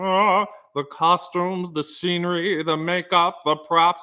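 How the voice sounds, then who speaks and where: A man speaks in a put-on character voice, pitched high for a man. His intonation is flat and monotone, at a fairly slow pace. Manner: grand, theatrical.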